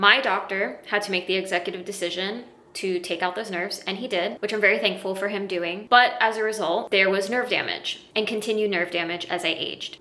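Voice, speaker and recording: Over noticeable background noise, a woman talks at a fairly quick pace with medium pitch and fairly even intonation. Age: 30s. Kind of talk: personal explainer talk to camera.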